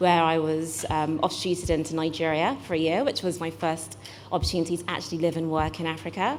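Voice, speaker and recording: A woman with a British accent talks at a fairly quick pace in a fairly low pitch. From UK. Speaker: venture investor, accelerator managing director. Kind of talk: panel talk.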